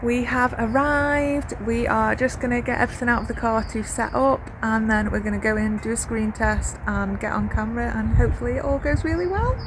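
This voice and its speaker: Through audible room echo and noticeable background noise, a woman talks at a fairly quick pace with hardly any pauses. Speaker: crochet designer and small business owner. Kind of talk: vlog.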